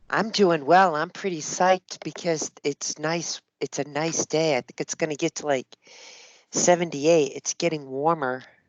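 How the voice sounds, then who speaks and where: Someone speaks at a moderate pace with a slight East Coast accent. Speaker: software sales demonstrator. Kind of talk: business video call.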